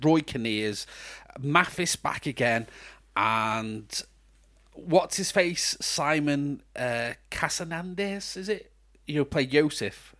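A man with a British accent speaks at a very slow pace, his pitch fairly high and his tone bright and sharp. His intonation is lively, and the recording is very clean with a silent background. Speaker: podcast co-host, film reviewer. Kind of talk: casual chat film review.

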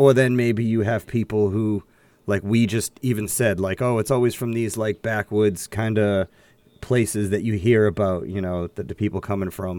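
This man speaks at a moderate pace with an American accent, his fairly low pitch and fairly even intonation giving an unremarkable speaking voice on a very clean recording with a silent background. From Boston area, US. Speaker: podcast co-host. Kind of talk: casual chat.

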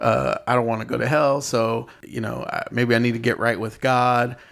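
An unremarkable speaking voice from a man at medium pitch and moderate pace, on a very clean recording with a silent background. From Inland Empire, Southern California. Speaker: rideshare driver. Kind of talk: casual chat.

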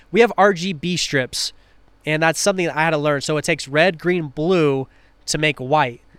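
A man with an ordinary speaking voice and an American accent, fairly high pitch, ordinary pitch variation and a moderate pace, in a very clean recording with a silent background. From Washington State, Tri-Cities. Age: 20s. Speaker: underglow company owner. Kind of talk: casual chat. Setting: on location at a car event.

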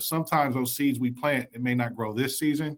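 Talking at a fairly quick pace, a man with an American accent uses a medium pitch and ordinary pitch variation. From US Midwest, Columbus, Ohio. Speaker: executive director of a youth nonprofit. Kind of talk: radio interview.

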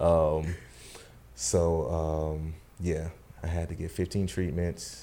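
With a North Carolina accent, a man talks at a very slow pace in a very deep, low voice with a dark, mellow tone, fairly even intonation, and long, frequent pauses. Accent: US Southern, North Carolina. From Charlotte, North Carolina. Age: 30s. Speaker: cancer survivor. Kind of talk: testimony. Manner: halting.

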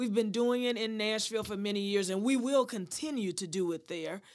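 A woman's plain, everyday voice at a medium pitch, with ordinary pitch variation. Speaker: golf foundation president. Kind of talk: interview.

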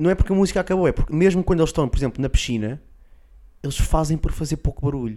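Very clean and with a silent background, the recording captures a man speaking very fast at a fairly high pitch, with a dark, mellow tone and ordinary pitch variation. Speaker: comedian podcast co-host. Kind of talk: casual comedic chat.

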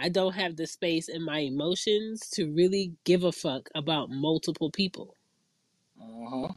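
A woman talks in an unremarkable speaking voice at a moderate pace. Her pitch is fairly low, with ordinary pitch variation. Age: 30s. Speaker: podcast host. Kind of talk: casual chat.

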